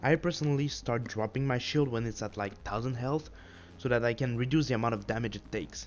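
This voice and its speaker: A man with a non-native accent, at a very fast pace, with ordinary pitch variation. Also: medium pitch for a man. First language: not English. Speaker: gaming tutorial creator. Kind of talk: tutorial.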